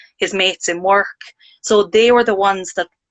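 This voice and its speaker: A woman's medium-pitched voice with an Irish accent, fairly quick in pace and flat, monotone in intonation. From Ireland. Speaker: parent sharing mental health experience. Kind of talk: casual chat.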